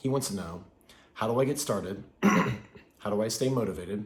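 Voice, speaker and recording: A somewhat breathy man talks with lively intonation and a fairly low pitch. His moderate pace is heard with audible room echo. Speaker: fitness and wellness video creator. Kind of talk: talking-head video monologue.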